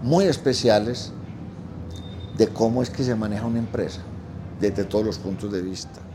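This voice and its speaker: Speaking in a fairly low pitch, a man leaves long, frequent pauses. Noticeable background noise and audible room echo fill the recording. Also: ordinary pitch variation, moderate pace. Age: 70s. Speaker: restaurant manager. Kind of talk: interview. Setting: restaurant.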